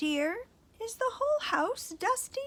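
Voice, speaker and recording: Raising and projecting her voice, a woman does a squeaky put-on character voice at an extremely high pitch, with very wide pitch swings and a fairly slow pace. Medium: read story. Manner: condescending, impatient.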